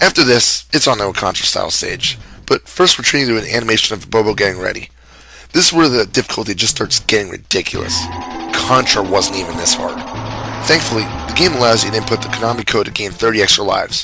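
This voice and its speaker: A man at medium pitch, lively in intonation and very fast in pace, with music in the background. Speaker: game reviewer. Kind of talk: video game review narration. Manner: casual, joking.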